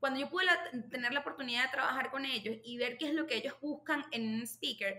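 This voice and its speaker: A woman's high-pitched, raised, projected voice at a fairly quick pace, with ordinary pitch variation and noticeable background noise. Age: 30s. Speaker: marketing specialist and nonprofit cofounder. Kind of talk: podcast interview. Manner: halting.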